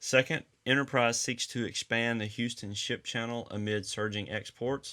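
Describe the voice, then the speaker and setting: A bright, sharp tone with a Southern US accent comes through on a very clean recording with a silent background. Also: man. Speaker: podcast host. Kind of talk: casual chat.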